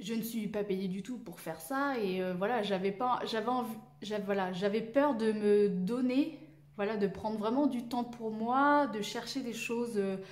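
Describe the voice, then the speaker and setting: Her pitch fairly high with ordinary variation, a woman talks fairly slowly amid noticeable background noise and audible room echo. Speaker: sewing YouTuber. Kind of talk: casual vlog monologue. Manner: halting, many hesitations.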